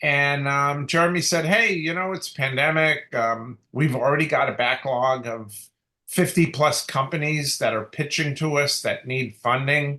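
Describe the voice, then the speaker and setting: A man with a fairly high pitch and a bright, sharp tone speaks at a fairly slow pace. His pitch variation is ordinary, and the background is quiet. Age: 60s. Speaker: dentist. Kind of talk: interview. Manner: halting, many fillers.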